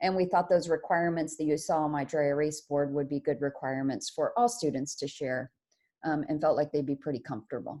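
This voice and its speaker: In a very deep, low pitch with a dark, mellow tone, a woman talks at a fairly quick pace with ordinary pitch variation. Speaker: teacher. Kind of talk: presentation on video call. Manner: fast.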